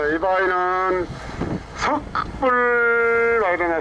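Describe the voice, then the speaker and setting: A man with a Jeolla accent speaks in a raised, projected voice at a high pitch with ordinary pitch variation. Noticeable background noise is present. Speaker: tour boat captain. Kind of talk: tour guide commentary. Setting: outdoors, on a boat.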